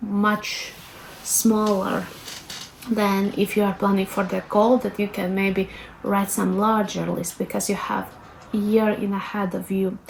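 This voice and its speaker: Over noticeable background noise, a woman with a Latvian accent speaks at a fairly slow pace in a monotone, flat intonation. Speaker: lifestyle vlogger. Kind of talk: tutorial. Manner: casual, hesitant with fillers.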